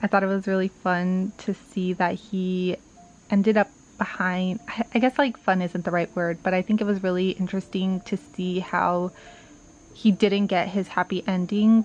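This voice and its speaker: Music plays behind a soft-spoken woman. Her intonation is monotone and flat, at a moderate pace. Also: medium pitch for a woman. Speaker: book vlogger. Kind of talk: casual vlog monologue.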